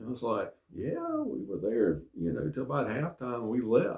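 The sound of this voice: A man speaks at a moderate pace with a medium pitch, very wide pitch swings and vocal fry.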